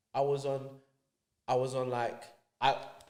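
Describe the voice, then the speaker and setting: A man with a London accent speaks at a moderate pace and a medium pitch. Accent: London multicultural English. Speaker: podcast guest telling life story. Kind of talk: casual chat. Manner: animated.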